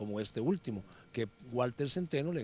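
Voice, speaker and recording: In a Costa Rican accent, a man speaks at a medium pitch with lively intonation. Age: 60s. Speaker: former footballer and sports commentator. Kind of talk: interview. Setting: workplace, lawyers' association.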